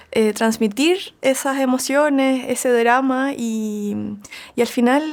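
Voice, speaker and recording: Speaking with a Chilean accent, a woman uses a high pitch and ordinary pitch variation. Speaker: singer-songwriter. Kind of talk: interview conversation. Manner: casual, many fillers.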